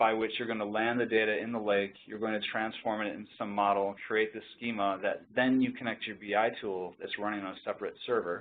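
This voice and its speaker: A man with a medium-pitched voice talks at a fairly quick pace in a flat, monotone delivery. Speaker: tech company presenter. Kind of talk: webinar presentation. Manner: fast.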